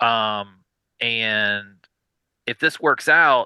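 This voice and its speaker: A man speaks with a Southern US accent and a bright, sharp tone. The sound is dry and close with no echo, over a quiet background. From US South. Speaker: indie record label founder. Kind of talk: podcast interview. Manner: hesitant, many fillers.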